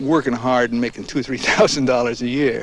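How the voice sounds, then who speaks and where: A man's medium-pitched voice with an American accent, fairly even intonation, and noticeable noise in the background. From United States. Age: 60s. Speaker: farmer. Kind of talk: interview. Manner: halting, with many fillers.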